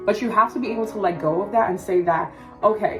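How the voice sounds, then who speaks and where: A woman speaks at a medium pitch and a fairly quick pace with lively intonation. Music plays in the background. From Cameroon. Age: 20s. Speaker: self-development content creator. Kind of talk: motivational pep talk to camera. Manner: casual, conversational.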